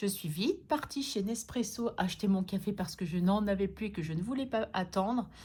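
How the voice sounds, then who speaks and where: A woman with a fairly high pitch and a somewhat breathy voice speaks at a fairly slow pace with lively intonation, on a very clean recording with a silent background. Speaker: budgeting vlogger. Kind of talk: casual vlog. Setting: at home. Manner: soft-spoken; hesitant with fillers.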